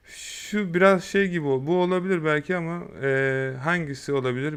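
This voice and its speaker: With ordinary pitch variation, the man keeps to a fairly slow pace. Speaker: YouTube tutorial creator. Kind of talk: tutorial. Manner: casual, hesitant fillers.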